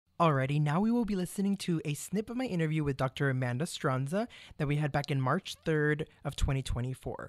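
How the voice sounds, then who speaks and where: An enthusiastic man at fairly high pitch and a fairly quick pace, dry with no echo against a quiet background. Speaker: radio host. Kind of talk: interview. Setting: studio. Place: studio.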